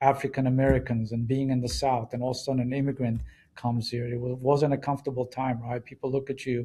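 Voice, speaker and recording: A man with an Israeli accent talks at a very fast pace in monotone, flat intonation, with a somewhat breathy voice and a dark, mellow tone. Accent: foreign accent, Israeli. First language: Hebrew. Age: 60s. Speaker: business executive. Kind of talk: interview storytelling.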